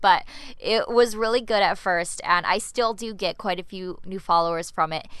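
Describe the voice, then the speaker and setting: In a Canadian accent, a woman with a normal speaking voice talks at a moderate pace and medium pitch, with ordinary pitch variation. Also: quiet background. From Canada. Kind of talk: solo podcast tutorial.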